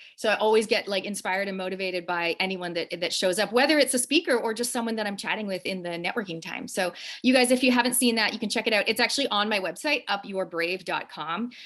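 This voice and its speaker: A woman's very fast, medium-pitched speech with a strong Canadian accent, ordinary pitch variation and hardly any pauses. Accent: Canadian accent, still strong. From Canada. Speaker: show host and wellness business owner. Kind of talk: interview conversation. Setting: Instagram live video.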